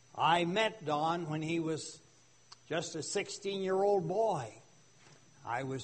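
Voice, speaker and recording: A man's fairly high voice with ordinary pitch variation and audible room echo. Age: 80s+. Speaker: retired pastor. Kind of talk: sermon. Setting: church. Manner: loud.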